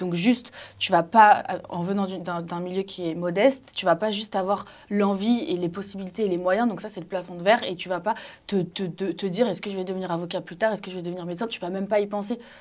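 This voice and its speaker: Her intonation is fairly even, her pitch medium. The woman talks at a very fast pace. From Paris, 8th arrondissement. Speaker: journalist. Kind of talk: casual debate.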